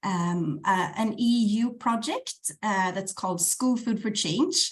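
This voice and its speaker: A woman talks at a very slow pace, her voice somewhat breathy and medium in pitch. Her pitch varies in an ordinary way. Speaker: project manager, conference speaker. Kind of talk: presentation. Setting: video call. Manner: hesitant, many fillers.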